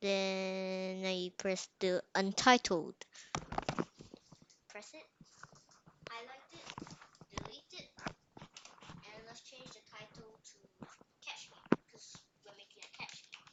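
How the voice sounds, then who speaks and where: A woman at a medium pitch talks very slowly in a flat monotone, with long, frequent pauses, big swings in loudness and noticeable background noise. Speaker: coding tutorial host. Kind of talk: tutorial. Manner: casual, rambling.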